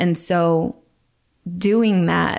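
A woman's fairly low voice in a monotone, flat delivery, in a very clean recording with a silent background. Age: 30s. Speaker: faith speaker. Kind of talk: casual chat.

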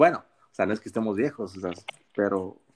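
Fairly low in pitch, a man talks at a moderate pace. The sound is dry and close, without echo. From Mexico, Sinaloa (Costa Rica town). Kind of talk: casual chat.

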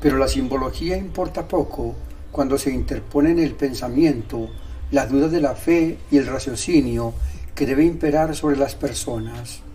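Noticeable background noise and audible room echo surround a man who talks at a fairly slow pace. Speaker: podcaster. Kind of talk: scripted narration.

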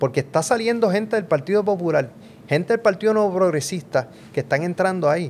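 In a Puerto Rican accent, a man speaks with a high pitch, lively intonation and a fairly quick pace. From Puerto Rico, Mayagüez. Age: middle-aged. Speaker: professor and podcast co-host. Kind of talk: casual political chat. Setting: home studio.

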